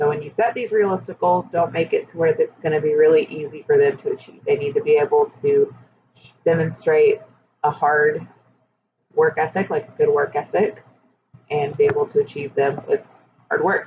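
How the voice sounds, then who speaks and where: A woman speaks at a moderate pace, with long, frequent pauses. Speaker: teacher. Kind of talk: personal reflection monologue. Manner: loud.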